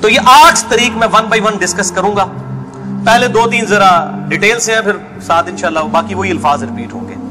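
Over noticeable background noise, a man with a high pitch speaks in a raised, projected voice with ordinary pitch variation. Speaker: Islamic lecturer and preacher. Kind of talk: religious lecture. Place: studio.

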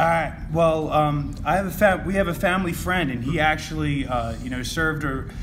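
A man with a fairly high voice talks at a moderate pace over noticeable background noise. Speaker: guest selling items. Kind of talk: casual chat. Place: home room.

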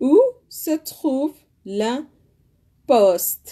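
Over a quiet background, a woman speaks at a very slow pace in a dark, mellow tone with lively intonation. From Sudan. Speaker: language teacher. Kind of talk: language lesson. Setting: live stream. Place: home room. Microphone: phone near.

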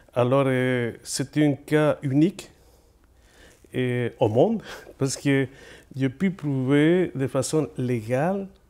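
The man's tone is dark and mellow, and he speaks with a Spanish accent. Long, frequent pauses break up his speech. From Chile. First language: Spanish (speaking French). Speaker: poet and author; guest, lecturer. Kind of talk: interview. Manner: halting, many hesitations. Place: studio. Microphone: lapel.

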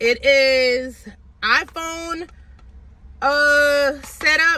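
A woman's raised, projected voice, dry with no echo. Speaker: fitness vlogger. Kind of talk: casual vlog chat. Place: car.

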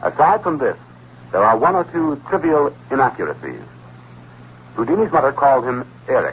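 Light background noise sits behind the speaker. A man talks at a fairly quick pace. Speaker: radio show host. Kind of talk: 1960s radio show narration, reading a historical account and a letter. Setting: vintage radio broadcast recording. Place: studio. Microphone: old recording.

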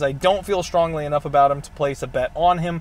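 Recorded dry with no echo, a man speaks at a fairly quick pace with fairly even intonation. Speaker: MMA podcast host. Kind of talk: sports betting commentary. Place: car. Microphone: earbuds.

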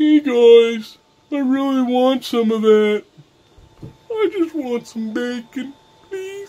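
A put-on character voice at a fairly high pitch moves at a very slow pace, broken by long, frequent pauses. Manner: pleading, cute.

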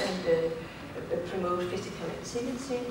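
Amid loud background noise and audible room echo, a woman speaks at a very slow pace with ordinary pitch variation. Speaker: invited lecturer. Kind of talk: lecture. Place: hall. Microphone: camera far.

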